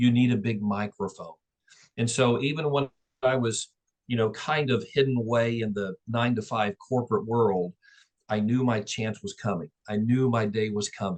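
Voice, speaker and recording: A man of medium pitch in a normal speaking voice, with a dry, close sound with no echo. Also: fairly even intonation, moderate pace. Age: 60s. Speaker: real estate and mortgage business owner. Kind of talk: interview.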